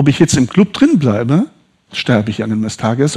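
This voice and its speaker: A man talks with lively intonation. His tone is dark, mellow and somewhat breathy. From northern Italy, raised in southern Hesse. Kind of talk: testimony. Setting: church service.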